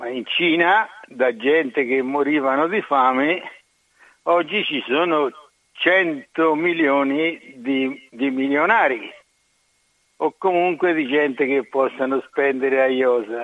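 A man with a fairly high pitch and ordinary pitch variation speaks at a very slow pace, leaving long, frequent pauses. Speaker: caller. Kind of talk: casual chat. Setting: phone call.

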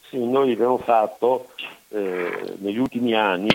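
Noticeable background noise sits behind the speaker. A man talks with ordinary pitch variation. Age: 70s. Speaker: son of a fallen soldier, association president. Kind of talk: interview, personal testimony. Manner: halting, many fillers.

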